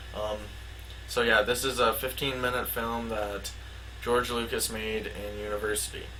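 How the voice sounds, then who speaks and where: Audible room echo and noticeable background noise surround a man talking at a moderate pace. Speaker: conspiracy video maker. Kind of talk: casual commentary with read-out plot summary. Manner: halting with filler words.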